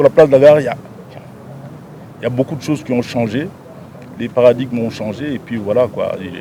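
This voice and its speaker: A man speaks at a moderate pace and medium pitch, with long, frequent pauses. His loudness swings widely over noticeable background noise. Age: 60s. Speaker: provincial governor. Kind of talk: press interview. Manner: halting, with frequent repetitions.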